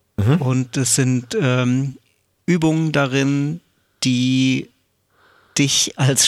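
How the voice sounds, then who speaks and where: A man speaks at a medium pitch. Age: 40s. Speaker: professional drummer and percussionist. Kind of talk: casual interview. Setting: at home, remote recording.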